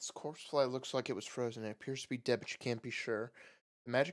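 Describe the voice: Intonation stays fairly even in this plain reading aloud. All around it is quiet.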